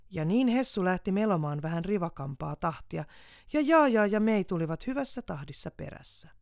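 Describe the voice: Read aloud plainly, the words move with lively intonation.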